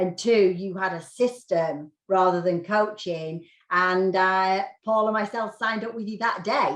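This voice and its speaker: A woman with a British accent speaks at a fairly slow pace, her medium pitch showing ordinary variation. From United Kingdom. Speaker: real estate agent. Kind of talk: interview.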